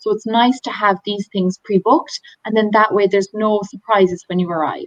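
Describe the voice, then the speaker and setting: In an Irish accent, a woman with a medium-pitched voice speaks at a fairly quick pace with ordinary pitch variation and a dry, close sound with no echo. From Ireland. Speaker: tour operator. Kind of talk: webinar presentation.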